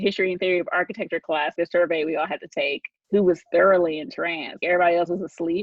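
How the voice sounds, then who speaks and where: Her pitch sits in the medium range, and this woman varies it in an ordinary way. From Oklahoma City. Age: 40s. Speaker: art history professor. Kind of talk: interview.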